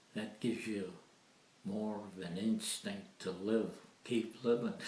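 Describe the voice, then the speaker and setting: A man with an American accent, fairly low in pitch with a dark, mellow tone, monotone and flat at a fairly slow pace, with audible room echo. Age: 90s. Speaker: elderly interviewee. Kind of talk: casual reminiscing interview.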